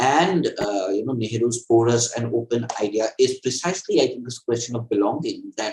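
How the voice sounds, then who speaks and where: With a Bengali accent, a man talks at a moderate pace with hardly any pauses. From India, Assam (East Bengali family). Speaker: author and political theorist. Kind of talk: interview. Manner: halting, many fillers and repetitions.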